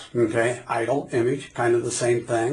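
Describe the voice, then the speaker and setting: A man's voice comes through with audible room echo. Background noise is noticeable too. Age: 60s. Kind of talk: sermon; casual chat.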